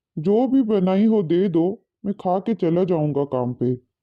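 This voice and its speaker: The voice is a cartoonish character voice at a middle pitch. It moves at a moderate pace. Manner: polite, addresses others respectfully.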